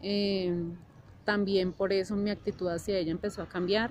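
This woman's voice sits at a medium pitch. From Colombia, Bogotá. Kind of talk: testimony. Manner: halting with frequent fillers.

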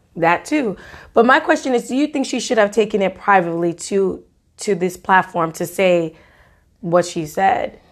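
With an animated tone and lively intonation, a woman talks at medium pitch and a moderate pace. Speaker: podcast co-host. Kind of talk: casual chat. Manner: animated, laughing often.

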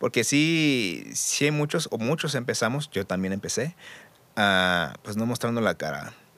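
The speaker, with a Mexican accent, talks at a moderate pace. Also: man. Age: 30s. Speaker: audiovisual producer. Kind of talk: casual chat. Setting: studio.

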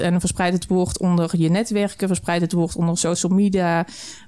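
Dark, mellow tone from a woman at medium pitch, fairly quick in pace and fairly even in intonation. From southern Netherlands. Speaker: brewery co-founder. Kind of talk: casual interview. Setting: studio.

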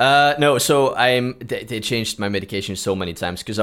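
In a plain, everyday voice, a man speaks with ordinary pitch variation on a very clean recording with a silent background. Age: 30s. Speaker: podcast host, cardiac arrest survivor. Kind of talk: casual interview.

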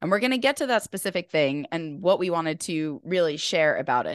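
Over a quiet background, a woman speaks in an animated tone with very wide pitch swings, in a dry, close sound with no echo. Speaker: podcast host and health coach. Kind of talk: casual chat.

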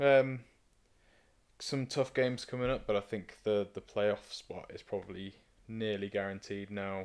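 A man with a British accent, ordinary pitch variation and big swings in loudness. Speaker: podcast co-host. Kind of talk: casual chat.

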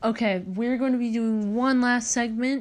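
Slowish in pace, a woman talks in an unremarkable speaking voice pitched fairly high. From Oregon, US. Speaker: podcast host. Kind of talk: casual chat with reading aloud.

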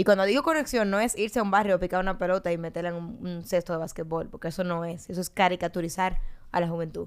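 A woman's medium-pitched voice at a very fast pace, ordinary pitch variation, on a very clean recording with a silent background. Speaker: political podcast co-host, party member. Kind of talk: casual political discussion.

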